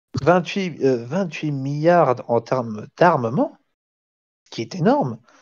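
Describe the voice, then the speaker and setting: A man with a Belgian accent talks at a very slow pace and fairly high pitch, his loudness swinging widely. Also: lively intonation. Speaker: amateur history lecturer. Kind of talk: lecture. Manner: halting, many fillers and restarts.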